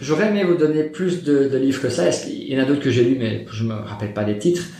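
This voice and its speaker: A man's fairly high voice at a very fast pace with lively intonation, amid noticeable background noise and audible room echo. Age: 30s. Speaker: property investor. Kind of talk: interview.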